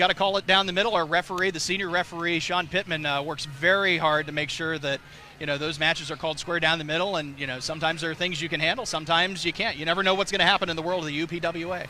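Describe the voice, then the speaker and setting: Noticeable background noise sits behind a man with an American accent. He speaks at a very fast pace and a high pitch. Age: 30s. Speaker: TV parade commentator. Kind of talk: live commentary. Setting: outdoors. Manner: animated.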